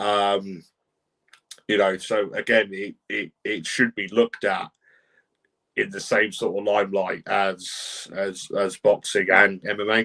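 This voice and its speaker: In a dry, close sound with no echo, a man with a British accent speaks fairly slowly in a fairly low, flat monotone with a bright, sharp tone. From Britain. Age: 20s. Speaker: podcast host and wrestling referee. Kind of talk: casual podcast chat, reading viewer comments. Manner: hesitant, many fillers.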